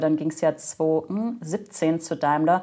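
Recorded very cleanly over a silent background, a woman speaks at a fairly low pitch. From Germany. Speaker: corporate podcast host in corporate communications. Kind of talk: interview conversation.

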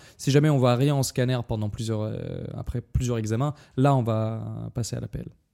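With a Russian accent, a man speaks in a dark, mellow tone and fairly even intonation, recorded very cleanly against a silent background in a dry, close sound with no echo. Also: medium pitch for a man, moderate pace. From Dagestan, Russia. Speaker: guest, medical student. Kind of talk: casual chat.

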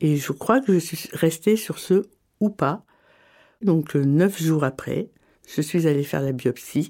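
This woman's voice has a dark, mellow tone and lively intonation. She leaves long, frequent pauses. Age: 40s. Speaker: cancer patient sharing her story. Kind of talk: personal testimony. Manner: hesitant, many fillers.

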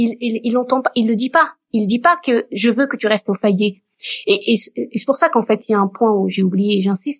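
A woman with an ordinary speaking voice talks at a moderate pace, her fairly high pitch showing ordinary pitch variation. The recording is dry and close, with no echo. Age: 50s. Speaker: community volunteer helping singles marry. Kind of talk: casual chat.

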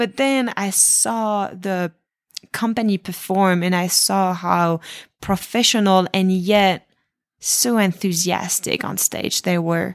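A woman with a French accent speaks at a medium pitch and a very slow pace. Her pitch variation is ordinary, and the recording is very clean with a silent background. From France. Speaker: professional dancer. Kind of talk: interview.

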